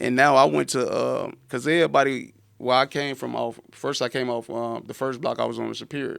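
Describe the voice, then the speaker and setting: A Southern US accent in a very clean recording with a silent background. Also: man. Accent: down south. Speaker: entrepreneur and author. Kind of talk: podcast interview, life story. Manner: halting, repetitive.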